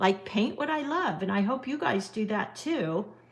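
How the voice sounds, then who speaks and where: A woman with an unremarkable speaking voice talks at a moderate pace and a fairly high pitch, with ordinary pitch variation. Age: 60s. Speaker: watercolor art teacher. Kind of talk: live-stream painting tutorial with viewer chat. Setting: live stream. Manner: casual, chatty with filler words.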